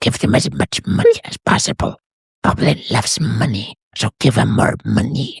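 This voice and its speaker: Using a put-on character voice, a man speaks raspily at a fairly slow pace with a playful tone. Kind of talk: simple, broken grammar. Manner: playful, broken-English goblin.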